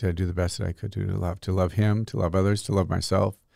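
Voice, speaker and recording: A man's very deep, low voice, somewhat breathy, with a dark, mellow tone and fairly even intonation, on a very clean recording with a silent background. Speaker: priest, podcast co-host. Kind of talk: casual chat.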